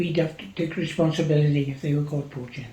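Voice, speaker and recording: With a south Wales accent, a man speaks at a moderate pace in a fairly high pitch, with audible room echo and noticeable background noise. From Wales, Gower. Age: 80s+. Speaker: farmer. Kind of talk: oral history interview.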